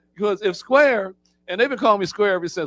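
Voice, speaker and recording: Someone with an American accent speaks with lively intonation as music plays in the background. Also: man. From Philadelphia, US. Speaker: trainer at a prisoner reentry program. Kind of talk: motivational talk to a group. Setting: room with live audience. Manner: animated.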